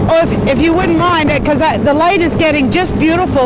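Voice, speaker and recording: Over loud background noise, a man talks at a fairly quick pace with ordinary pitch variation in a dry sound with no echo. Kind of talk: phone call conversation. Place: boat.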